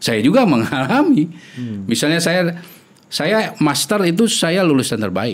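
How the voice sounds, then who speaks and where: Speaking fairly slowly, a man with a fairly high pitch moves through very wide pitch swings. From Indonesia. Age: 40s. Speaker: epidemiologist; guest. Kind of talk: interview; interview answer. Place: studio. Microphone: studio mic.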